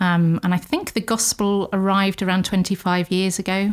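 A woman speaks at a moderate pace and a medium pitch in an English accent. The recording is very clean, with a silent background. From England. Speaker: missionary Bible teacher. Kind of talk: interview.

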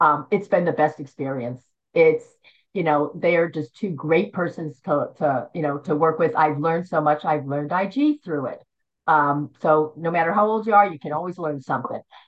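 A woman with an American accent speaks at a moderate pace, her pitch fairly low with ordinary variation. It is an unremarkable speaking voice. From Philadelphia area, US Northeast. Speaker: bodybuilding judge, retired nurse. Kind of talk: interview, casual conversation.

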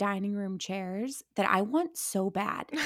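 In a plain, everyday voice, a woman talks at medium pitch, her pitch varying in an ordinary way. The background is silent and the recording very clean. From Ohio, Akron. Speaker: social media creator. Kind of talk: casual chat.

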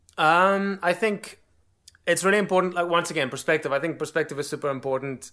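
The voice has a bright, sharp tone. It moves at a moderate pace. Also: man. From South Africa. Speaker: drummer and online drum educator. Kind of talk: casual interview chat. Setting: video call.

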